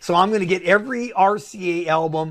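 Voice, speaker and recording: A man talks with lively intonation. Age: 60s. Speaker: record collector. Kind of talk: casual chat.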